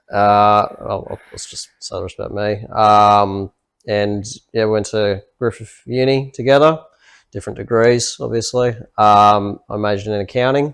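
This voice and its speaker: A man with an Australian accent, medium pitch and a fairly slow pace, on a very clean recording with a silent background. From Australia, Gold Coast. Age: 20s. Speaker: accountant, podcast co-host. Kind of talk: casual chat.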